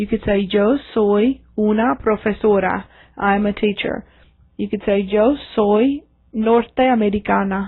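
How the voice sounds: At a fairly slow pace, a woman speaks at medium pitch with fairly even intonation.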